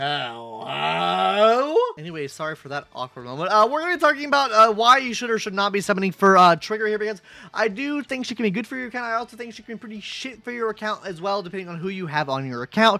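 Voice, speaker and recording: A man's raised, projected voice, high-pitched for a man, bright and sharp in tone, at a very fast pace, with very wide pitch swings and big swings in loudness. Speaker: gaming content creator. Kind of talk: gaming guide commentary. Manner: casual, stumbling.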